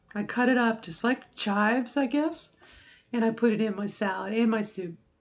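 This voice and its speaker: With an unremarkable speaking voice, a woman talks at a moderate pace, her fairly high pitch moving with ordinary pitch variation. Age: middle-aged. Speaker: transgender woman doing voice training. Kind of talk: casual talk to camera during voice practice.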